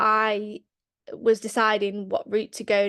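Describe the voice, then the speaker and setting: With a Lancashire accent, a woman speaks at a fairly high pitch against a quiet background. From Lancashire, northern England. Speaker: barrister, former solicitor. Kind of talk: panel talk on career path. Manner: hesitant, many fillers.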